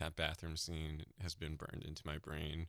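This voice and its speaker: In a very clean recording with a silent background, a man with an American accent speaks in a bright, sharp tone at a very deep, low pitch. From New Hampshire, US. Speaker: entertainment writer, podcast co-host. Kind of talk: casual chat.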